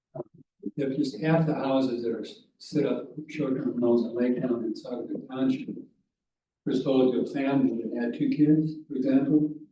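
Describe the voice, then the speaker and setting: Audible room echo surrounds a man speaking at a medium pitch and moderate pace. His intonation is fairly even. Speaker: public commenter at township meeting. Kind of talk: public comment. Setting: township board meeting. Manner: soft-spoken. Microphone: hard to hear, too quiet.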